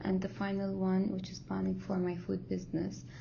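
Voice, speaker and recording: This is a woman speaking. Audible room echo is present. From Kuwait. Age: 20s. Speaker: university student. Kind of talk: recorded class presentation.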